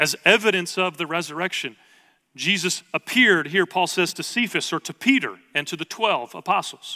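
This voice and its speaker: The man's voice is high-pitched, with a bright, sharp tone. He talks at a moderate pace, and the sound is dry and close with no echo. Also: ordinary pitch variation. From Oklahoma. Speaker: pastor. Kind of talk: sermon. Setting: church with congregation, streamed online.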